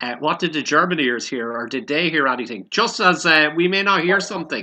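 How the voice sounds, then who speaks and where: A fairly quick pace in an Irish accent. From Ireland. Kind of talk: casual chat. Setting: video call.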